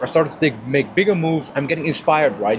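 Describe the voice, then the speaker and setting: Over noticeable background noise, a man with a fairly high voice talks at a very fast pace with lively intonation. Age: 20s. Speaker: online entrepreneur vlogger. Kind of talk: casual vlog talk to camera. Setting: first class airplane cabin. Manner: loud.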